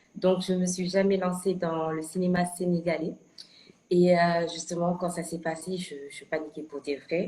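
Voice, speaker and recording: Her voice is somewhat breathy and sits at a medium pitch. The woman talks at a fairly slow pace. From Senegal. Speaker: actress. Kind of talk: interview. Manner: hesitant, many fillers and repetitions.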